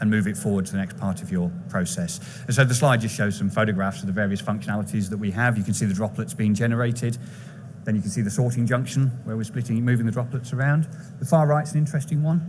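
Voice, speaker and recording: Speaking at a very fast pace with an English accent, a man with a medium pitch and lively intonation is heard with audible room echo. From England. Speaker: chief technical officer of a biotech company. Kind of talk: conference presentation. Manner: brisk.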